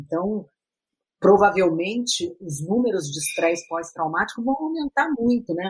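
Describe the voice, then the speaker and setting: Somewhat breathy, a woman speaks at a fairly slow pace. Her pitch swings very widely. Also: medium pitch for a woman. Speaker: psychiatrist. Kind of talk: interview. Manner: halting.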